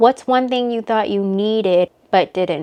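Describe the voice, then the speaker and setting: A woman's fairly slow delivery with ordinary pitch variation. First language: not English. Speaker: vlogger, new mother. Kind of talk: casual chat. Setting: at home.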